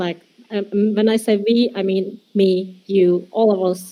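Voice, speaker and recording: A woman with a Turkish accent, dark and mellow in tone, at a fairly slow pace. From Turkey. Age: 20s. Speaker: metaverse designer. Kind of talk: presentation. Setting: virtual world meetup. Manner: halting.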